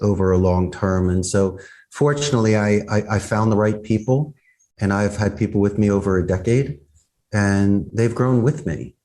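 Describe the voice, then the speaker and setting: A man with a Philadelphia accent, a fairly low pitch, a dark, mellow tone, and a moderate pace. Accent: Philadelphia American. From US Northeast, Philadelphia. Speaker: business owner. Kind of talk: interview. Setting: video call.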